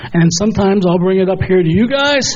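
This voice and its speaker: Speech comes at a moderate pace. Noticeable background noise and audible room echo fill the recording. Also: man. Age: 70s. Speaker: resident speaking at public comment. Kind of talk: public comment at board meeting. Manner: halting.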